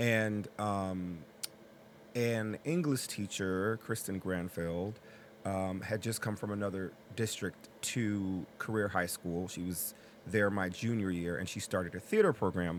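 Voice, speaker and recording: A man speaks in a plain, everyday voice at a fairly low pitch. His pace is fairly slow and his intonation fairly even. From New Haven, Connecticut. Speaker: actor and playwright. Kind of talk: interview.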